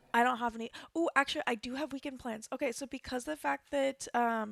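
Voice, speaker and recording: Ordinary pitch variation on a very clean recording with a silent background, dry and close with no echo. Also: woman. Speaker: game streamer. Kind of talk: casual chat. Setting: live stream. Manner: halting, many fillers.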